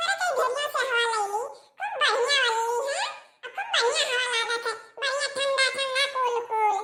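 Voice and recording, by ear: This is a cartoonish character voice. Its intonation stays fairly even. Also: woman, extremely high pitch for a woman, moderate pace.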